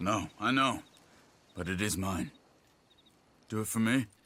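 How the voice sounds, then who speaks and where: Putting on a character voice, a man speaks at a fairly low pitch. His pace is moderate and his pitch varies in an ordinary way. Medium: video game. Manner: steady, quiet.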